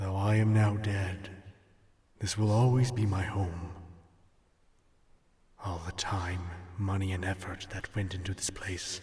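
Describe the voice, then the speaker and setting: A man's put-on character voice, fairly low in pitch, at a fairly slow pace with long, frequent pauses. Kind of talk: ASMR role play. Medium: audio drama. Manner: deadpan.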